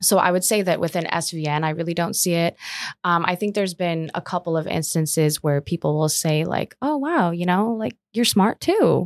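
With an American accent, a woman speaks in an ordinary speaking voice at a fairly low pitch and moderate pace, using ordinary pitch variation. The sound is dry and close, with no echo. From Omaha, Nebraska, US. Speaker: commercial real estate advisor. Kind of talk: casual interview.

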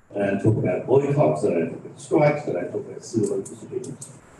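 A man speaks over noticeable background noise. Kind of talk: panel talk. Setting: stage with audience, live streamed.

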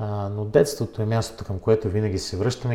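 A man's fairly low, somewhat breathy voice with a dark, mellow tone, at a moderate pace. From Bulgaria, Plovdiv. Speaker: member of parliament and book publisher. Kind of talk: interview.

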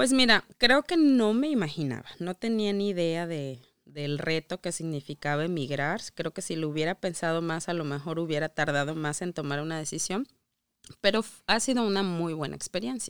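A woman's fairly low-pitched voice at a moderate pace, an ordinary speaking voice with lively intonation, dry and close with no echo, in a very clean recording over a silent background. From Mexico. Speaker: immigrant mother. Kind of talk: casual interview.

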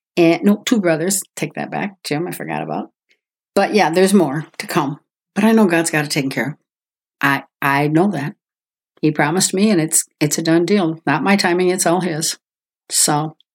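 With an American accent and an unremarkable speaking voice, a woman talks at a moderate pace and a fairly low pitch, with ordinary pitch variation. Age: 60s. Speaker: guest sharing faith testimony. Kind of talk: testimony.

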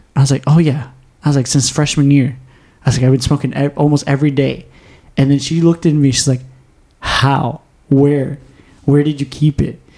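With a dark, mellow tone that is somewhat breathy, the speaker moves at a fairly quick pace in a flat monotone at very even loudness, broken by long, frequent pauses. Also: man, fairly high pitch for a man. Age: 20s. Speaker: podcast host. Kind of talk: casual chat. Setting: studio.

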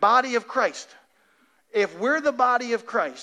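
A man speaks in a raised, projected voice with a bright, sharp tone. His pace is moderate and his pitch variation ordinary. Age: 40s. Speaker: pastor. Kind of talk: sermon.

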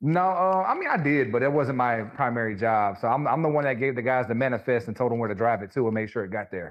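A man with a Louisiana accent at a medium pitch, talking at a very fast pace with hardly any pauses and ordinary pitch variation. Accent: Southern US (Louisiana). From Louisiana, small rural town. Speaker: barber and scalp micropigmentation artist. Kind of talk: casual interview.

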